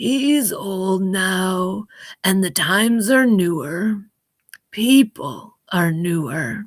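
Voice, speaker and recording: A put-on character voice, female-sounding and wheezy, with a tired tone, middle pitch and a very slow pace. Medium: read story. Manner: slow, tired.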